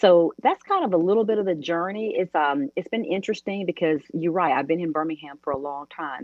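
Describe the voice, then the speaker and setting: A woman with an American accent talks at a fairly quick pace with very wide pitch swings and hardly any pauses. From US South, Mobile, Alabama. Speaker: business owner. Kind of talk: interview. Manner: fast.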